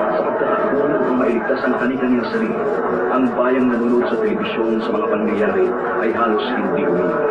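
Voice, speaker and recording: Over crowd noise in the background, a man talks at a very fast pace in a medium pitch. His pitch swings very widely while his loudness stays very even. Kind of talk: newsreel documentary narration. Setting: archival newsreel recording, low quality.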